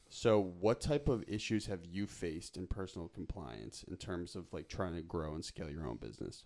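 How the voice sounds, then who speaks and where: A man with an American accent talks at a moderate pace with hardly any pauses, his very deep, low voice carrying vocal fry and very wide pitch swings. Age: 20s. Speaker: podcast host. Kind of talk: casual interview. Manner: animated.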